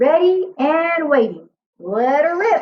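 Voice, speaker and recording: In a put-on character voice, a woman speaks high and with lively intonation at a fairly slow pace. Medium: read story. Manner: brassy, wisecracking.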